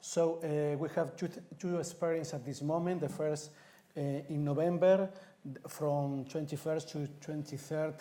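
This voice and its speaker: A man speaks with a Spanish accent in a dark, mellow tone, fairly high in pitch for a man. His pace is fairly slow and his intonation monotone and flat. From Spain, Madrid. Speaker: city councillor. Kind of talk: reading aloud.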